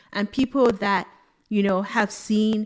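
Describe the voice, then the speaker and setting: In a very clean recording with a silent background, a woman with an unremarkable speaking voice talks at a fairly slow pace, medium pitch and fairly even intonation. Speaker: fintech speaker and advisor. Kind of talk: casual interview chat.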